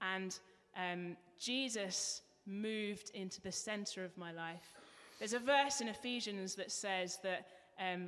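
In an English accent, a woman speaks at a fairly slow pace. Her voice is medium in pitch with ordinary pitch variation. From England. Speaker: church member giving testimony. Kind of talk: testimony. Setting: church.

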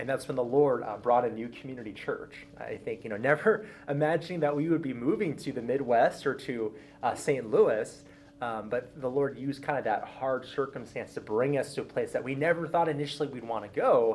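A man with an American accent talks at a fairly quick pace. His pitch is fairly high, with ordinary pitch variation. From Southern California. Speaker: pastor of discipleship. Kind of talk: personal testimony. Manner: fast.

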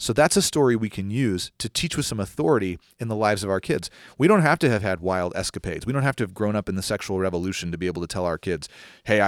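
Very fast and lively in intonation, a man with a fairly low voice talks in a very clean recording with a silent background and a dry, close sound with no echo. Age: 30s. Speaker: pastor. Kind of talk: solo podcast answering listener questions. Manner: conversational with frequent fillers.

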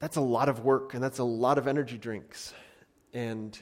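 At a moderate pace, a man talks in a plain, everyday voice, medium in pitch with ordinary pitch variation. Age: 30s. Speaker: pastor. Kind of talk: sermon.

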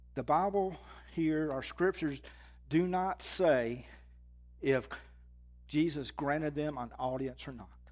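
This speaker has a Southern US accent, ordinary pitch variation and a fairly slow pace with long, frequent pauses. The recording is very clean, with a silent background. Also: man, fairly high pitch for a man. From Mississippi, US South. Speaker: guest preacher. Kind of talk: sermon.

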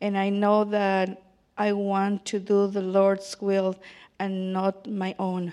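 The speech is very slow, monotone and flat, with a Spanish accent. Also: woman, medium pitch for a woman. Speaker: baptism candidate. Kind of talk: testimony. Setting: church.

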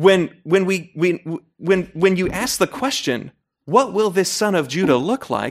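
A man's high-pitched voice with an American accent, lively intonation and a fairly slow pace. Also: dry, close sound with no echo. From Utah. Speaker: Bible scholar and editor. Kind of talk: interview.

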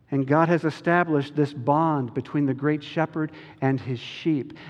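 A man talks in a normal speaking voice. He has a fairly high pitch and a moderate pace. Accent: American. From US South, North Carolina (Chapel Hill). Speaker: pastor. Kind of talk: sermon.

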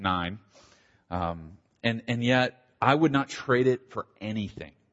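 A man speaks with an American accent at a medium pitch. His pitch varies in an ordinary way. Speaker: pastor. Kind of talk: testimony. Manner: halting, with repeated false starts.

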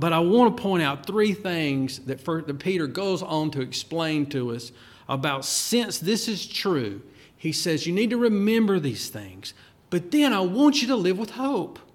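A man with a high pitch speaks at a fairly slow pace, his pitch swinging very widely. Music plays in the background and the room echo is audible. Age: 50s. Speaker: pastor. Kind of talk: sermon.

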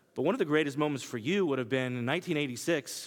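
In a very clean recording with a silent background, a man speaks in an American accent. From Kansas. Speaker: preacher. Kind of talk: sermon. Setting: church.

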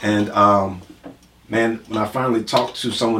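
Noticeable background noise sits behind a man with an American accent. He speaks at a medium pitch with monotone, flat intonation. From Milwaukee, Wisconsin. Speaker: pastor. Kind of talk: casual chat.

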